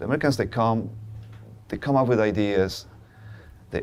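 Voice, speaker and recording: A man in a Polish accent, fairly low-pitched, fairly quick, with ordinary pitch variation. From Poland. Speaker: media entrepreneur. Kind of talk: documentary interview. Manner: halting, frequent repetitions.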